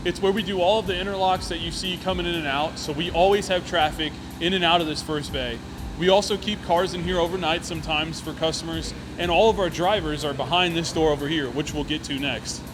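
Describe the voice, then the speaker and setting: Over noticeable background noise and audible room echo, a man talks very fast in a high voice with fairly even intonation. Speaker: auto shop staff giving tour. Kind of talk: guided walkthrough tour. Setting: walking through auto shop. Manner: loud, raised voice.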